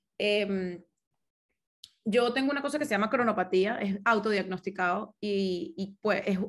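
Against a quiet background, a woman speaks at a moderate pace. She has a medium-pitched voice and a Caracas accent. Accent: Venezuelan Spanish (Caracas). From Venezuela, Caracas. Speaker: business consultant, engineer. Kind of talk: casual interview.

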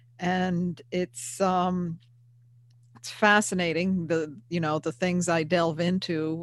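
In a very clean recording with a silent background, a woman with an American accent speaks in a plain, everyday voice, fairly low in pitch, at a fairly slow pace with fairly even intonation. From US Northeast, Hudson Valley of New York. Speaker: paranormal investigator and author. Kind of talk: casual interview.

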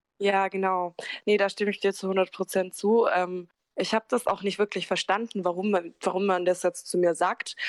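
A woman speaks at a moderate pace with monotone, flat intonation. The sound is dry and close with no echo, on a very clean recording with a silent background. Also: medium pitch for a woman. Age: 20s. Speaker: care worker, interview guest. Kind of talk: personal testimony.

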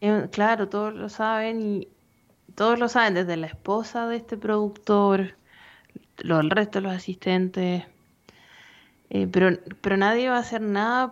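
A woman with a Chilean accent speaks at a medium pitch and a fairly slow pace. Her intonation is fairly even, and she takes long, frequent pauses. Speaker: film podcast co-host, economist. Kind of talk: casual chat.

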